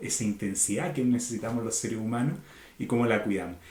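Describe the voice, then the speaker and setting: Audible room echo around a voice with a Chilean accent. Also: man. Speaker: organizational consultant. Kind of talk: podcast interview.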